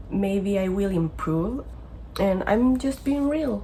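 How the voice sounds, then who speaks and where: Woman's medium-pitched voice with a non-native accent, very slow, with audible room echo. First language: not English. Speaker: vlogger living abroad. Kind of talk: personal vlog. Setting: bedroom in basement. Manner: halting, self-correcting.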